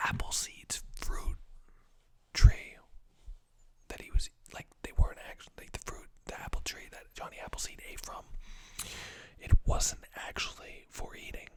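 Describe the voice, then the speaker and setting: A man whispers, leaving long, frequent pauses. His loudness swings widely. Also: moderate pace. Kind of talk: ASMR whisper random facts ramble to camera. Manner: whispered, casual, rambling.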